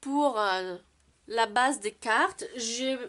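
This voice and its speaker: At a very slow pace, a woman speaks in a high voice with lively intonation. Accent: non-native. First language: not French (speaking French). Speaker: card-making crafter. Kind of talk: tutorial. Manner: halting, many hesitations.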